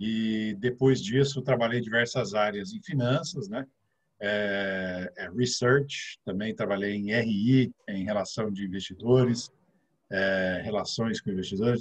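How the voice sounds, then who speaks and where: With fairly even intonation, a man delivers his words at a fairly slow pace. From Brazil, interior of São Paulo (Ribeirão Preto). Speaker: financial advisor. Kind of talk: casual interview chat.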